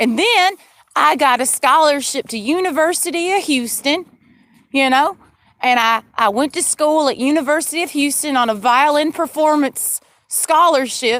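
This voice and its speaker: A woman with a Southern US accent speaks at a moderate pace in a high pitch with ordinary pitch variation. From Georgia, US South. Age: 30s. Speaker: livestreamer. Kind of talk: casual monologue. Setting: in a car. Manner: rambling, animated.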